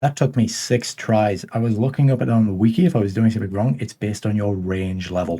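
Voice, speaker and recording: Speaking at a very fast pace, a man with a fairly low pitch has a dark, mellow tone. His voice is somewhat breathy, with ordinary pitch variation. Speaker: gaming youtuber. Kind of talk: gameplay commentary. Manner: casual.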